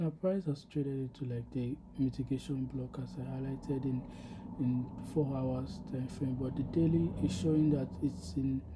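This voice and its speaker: At a moderate pace, the voice comes across soft-spoken. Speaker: trading video creator. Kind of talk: screen-share trade recap. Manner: soft, low volume; halting, many fillers.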